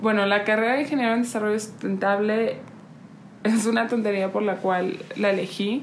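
Noticeable background noise and audible room echo surround speech with fairly even intonation. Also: woman, fairly high pitch for a woman, moderate pace. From Oaxaca, Mexico. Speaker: podcast co-host, renewable energy engineer. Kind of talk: casual chat. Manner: halting, many fillers.

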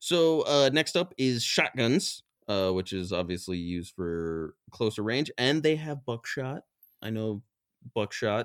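In an American accent, the speaker uses an animated tone with very wide pitch swings at a fairly slow pace. The recording is very clean, with a silent background. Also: man, medium pitch for a man, dry, close sound with no echo. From West Virginia. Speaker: podcast co-host. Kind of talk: casual chat. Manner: animated, joking.

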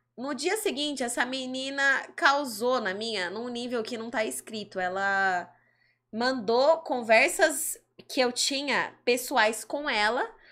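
On a very clean recording with a silent background, a woman speaks in a raised, projected voice at a very slow pace, with a high pitch, a bright, sharp tone and lively intonation. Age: 20s. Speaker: adult content creator. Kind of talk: interview.

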